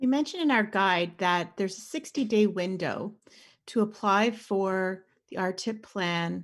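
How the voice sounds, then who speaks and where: With a Canadian accent, a woman speaks in an ordinary speaking voice. Her pace is fairly slow, with ordinary pitch variation. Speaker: insurance broker. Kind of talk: informational podcast discussion.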